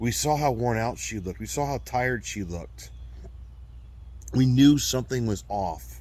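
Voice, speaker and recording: In a space with audible room echo, a man talks in a very deep, low pitch. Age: 40s. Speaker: abuse survivor and video blogger. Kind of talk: personal testimony monologue. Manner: halting.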